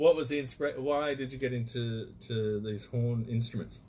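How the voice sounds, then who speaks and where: Somewhat breathy with fairly even intonation, the speaker talks at a moderate pace in an Australian accent. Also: man. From Australia (Perth/Fremantle). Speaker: radio host. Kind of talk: radio interview. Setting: studio.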